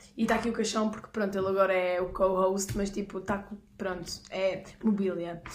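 A woman speaks at medium pitch and a moderate pace, her intonation monotone and flat. Audible room echo surrounds her voice. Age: 20s. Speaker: podcast co-host. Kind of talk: casual chat. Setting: garage.

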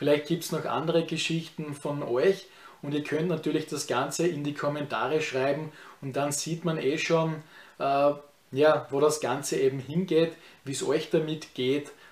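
A man's voice sits fairly high for a man. His intonation is monotone and flat. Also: moderate pace. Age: 30s. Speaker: YouTuber. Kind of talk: vlog review of personal experience. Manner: casual, with many filler words.

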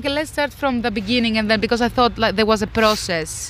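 In a Greek accent, a woman speaks at a very fast pace. Her pitch is high. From Greece. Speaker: interviewee sharing pandemic experience. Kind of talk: casual interview. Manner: halting, with fillers.

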